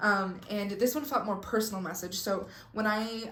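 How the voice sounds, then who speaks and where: With audible room echo, a woman talks at a medium pitch. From Mexico. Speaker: spiritual content creator. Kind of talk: casual vlog talk. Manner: energetic.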